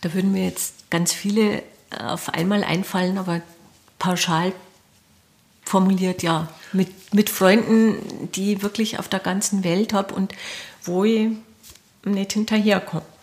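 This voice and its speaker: Against noticeable background noise, a woman speaks at a fairly slow pace in a flat monotone, with long, frequent pauses. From Lower Bavaria, Bavarian Forest (Mauth). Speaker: film director. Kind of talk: interview. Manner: hesitant, many fillers.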